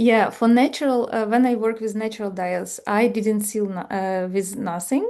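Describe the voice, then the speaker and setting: A woman with a non-native accent speaks at a moderate pace, her fairly high voice dark and mellow in tone with fairly even intonation. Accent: foreign. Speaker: folk art lecturer. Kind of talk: Q&A after a lecture. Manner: halting.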